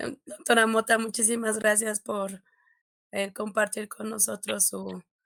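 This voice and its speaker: A woman's voice with vocal fry comes through in a dry, close sound with no echo. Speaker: medical education academic leader. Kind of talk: formal thanks. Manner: hesitant, many fillers.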